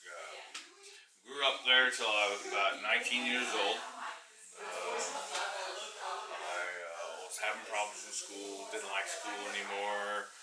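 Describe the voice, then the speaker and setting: A man at a very slow pace with big swings in loudness, amid noticeable background noise and audible room echo. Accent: Midwestern US. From Kansas (Mulvane, south of Wichita). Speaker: person at risk of homelessness. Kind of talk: interview. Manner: hesitant, many fillers.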